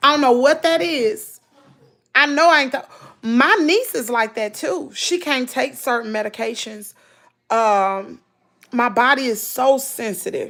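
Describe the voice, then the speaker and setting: At a fairly slow pace, a woman speaks in a high pitch with lively intonation. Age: 40s. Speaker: lifestyle vlogger. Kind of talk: live stream chat. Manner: animated.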